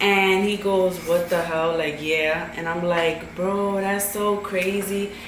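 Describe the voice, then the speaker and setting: Against noticeable background noise and audible room echo, a woman talks very slowly in a medium-pitched, monotone, flat voice with hardly any pauses. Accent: American. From New York, Brooklyn. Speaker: YouTuber's girlfriend. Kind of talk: casual chat. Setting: mukbang video.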